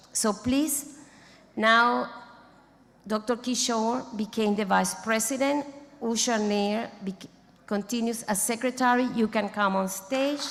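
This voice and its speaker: A woman with a non-native accent speaks at a fairly high pitch and a fairly slow pace, leaving long, frequent pauses. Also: fairly even intonation. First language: not English. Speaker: international society president. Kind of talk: ceremony speech. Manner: halting.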